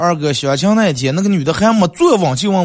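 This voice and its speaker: With a Northeastern Chinese accent, a man speaks at a fairly quick pace in a fairly high pitch, with an animated tone and very wide pitch swings. Noticeable background noise is present. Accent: Northeastern Mandarin dialect. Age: 30s. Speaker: radio host. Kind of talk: casual comedic radio talk show. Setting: radio studio, also livestreamed.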